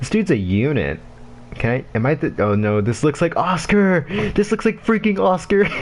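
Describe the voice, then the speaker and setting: An animated man's fairly high voice at a moderate pace, with very wide pitch swings over noticeable background noise. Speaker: gamer livestreamer. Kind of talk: casual chat. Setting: livestream. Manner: rambling, animated.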